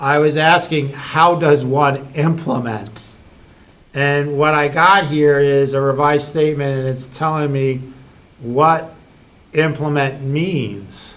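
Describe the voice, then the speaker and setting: Audible room echo surrounds a man who speaks very slowly in a fairly high voice with fairly even intonation. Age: 60s. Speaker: select board member. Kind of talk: public meeting discussion. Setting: town board meeting.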